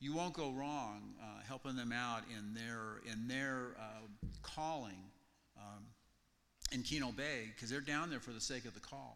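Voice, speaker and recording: At a fairly slow pace with long, frequent pauses, a man speaks in a bright, sharp tone at medium pitch with ordinary pitch variation. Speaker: mission team member. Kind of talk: testimony to congregation. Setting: church.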